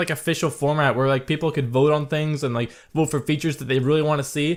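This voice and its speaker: This man's voice sits at a fairly high pitch. The recording is very clean, with a silent background. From Canada. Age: 20s. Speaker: gaming YouTuber. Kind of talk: Q&A video blog. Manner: casual, hesitant with many fillers.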